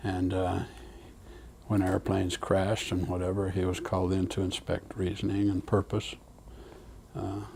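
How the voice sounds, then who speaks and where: Monotone, flat delivery from a man with very deep, low pitch at a moderate pace. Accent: American. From Utah, US. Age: 70s. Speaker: elderly family member telling life story. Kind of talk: family oral history interview. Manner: halting, many fillers.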